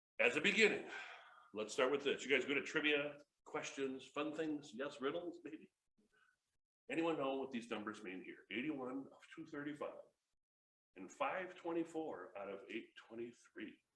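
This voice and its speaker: A man with an American accent and a fairly high pitch sounds bright and sharp, his intonation lively, his loudness swinging widely, with long, frequent pauses and audible room echo. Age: 50s. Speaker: motivational speaker and comedian. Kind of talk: motivational talk. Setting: stage with audience. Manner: fast; animated.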